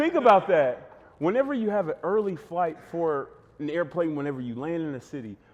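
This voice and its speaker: Through noticeable background noise, the voice carries an American accent. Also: man. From Texas, Fort Worth. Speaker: former basketball player and podcaster. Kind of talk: casual podcast interview. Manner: animated, fast and long-winded.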